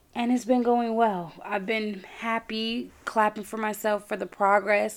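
At a fairly slow pace, a woman with an ordinary speaking voice talks at a fairly high pitch with ordinary pitch variation. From New York. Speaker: podcast host. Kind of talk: personal monologue. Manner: casual, conversational.

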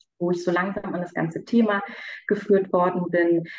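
A woman speaks in an ordinary speaking voice at medium pitch. Her intonation stays fairly even at a moderate pace. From Berlin. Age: 30s. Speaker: coaching client. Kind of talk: interview testimony.

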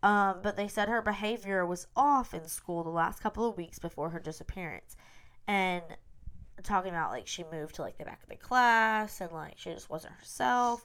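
Recorded very cleanly against a silent background, a woman with a Southern US accent talks at a moderate pace and medium pitch, with ordinary pitch variation and big swings in loudness. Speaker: podcast host. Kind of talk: casual chat. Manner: chatty, upbeat.

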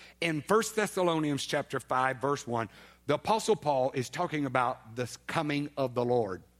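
In a very clean recording with a silent background, a man with an Alabama accent speaks at a moderate pace and a fairly high pitch. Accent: Southern US (Alabama). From US South, Baldwin County, Alabama. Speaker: guest preacher. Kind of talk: sermon. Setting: church.

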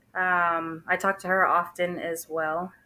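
Captured on a very clean recording with a silent background, a woman speaks in a medium-pitched voice with a bright, sharp tone. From Texas. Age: 30s. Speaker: divorce story guest. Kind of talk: interview.

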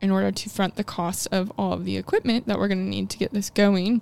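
A woman talks with a Midwestern American accent. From US Midwest, rural Illinois. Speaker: ceramic artist and studio owner. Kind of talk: casual interview.

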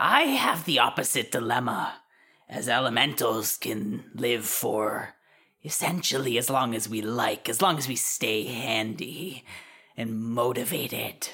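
A raspy, put-on character voice sits at low-to-middle pitch. It moves at a fairly slow pace. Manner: prim, playful, giggly.

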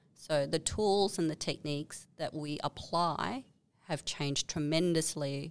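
This woman has a very deep, low pitch and a fairly slow pace. The recording is very clean, with a silent background. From Malaysia. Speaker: product management consultancy founder. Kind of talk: casual interview. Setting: office.

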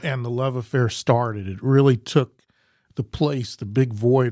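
A man with an American accent has an unremarkable speaking voice at medium pitch, with ordinary pitch variation and a moderate pace, recorded dry and close with no echo. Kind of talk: casual chat.

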